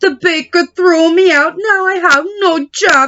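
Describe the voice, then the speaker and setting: A woman does a put-on character voice at an extremely high pitch, talking fairly slowly. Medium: read story. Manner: impulsive, childish.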